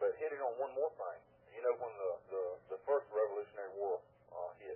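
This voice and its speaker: A man with a Southern US accent at a very fast pace. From US South. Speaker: caller. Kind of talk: call-in radio talk. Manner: halting.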